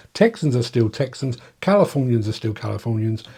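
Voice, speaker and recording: On a very clean recording with a silent background, a man with an English accent speaks at a moderate pace. His medium-pitched voice is somewhat breathy, with a dark, mellow tone. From England. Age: 60s. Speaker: journalist and political commentator. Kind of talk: video monologue. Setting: home streaming setup. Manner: halting, with frequent repetitions.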